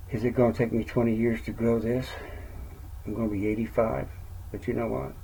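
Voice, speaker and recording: Medium in pitch with vocal fry, a man speaks at a fairly quick pace broken by long, frequent pauses, with audible room echo. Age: 60s. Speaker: network marketer and retired truck driver. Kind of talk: casual vlog monologue. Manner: rambling, conversational.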